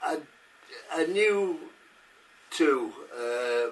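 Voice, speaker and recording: Noticeable background noise sits behind the speaker. A man talks with lively intonation. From northern England, Salford. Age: 80s+. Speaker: war veteran. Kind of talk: interview, personal recollection. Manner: halting, many hesitations.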